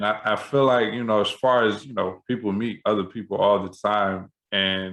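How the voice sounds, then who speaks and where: With an ordinary speaking voice, a man talks at a moderate pace and a fairly low pitch, his intonation fairly even and with hardly any pauses. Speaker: podcast host; spoken word poet. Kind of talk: casual podcast conversation.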